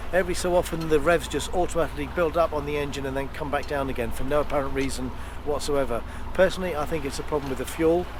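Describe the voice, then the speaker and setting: Noticeable background noise and audible room echo surround the recording. The man in it talks at a very fast pace. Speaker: sailing vlogger. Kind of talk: casual vlog narration to camera. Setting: outdoors on a boat at sea. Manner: soft-spoken, speaking quietly.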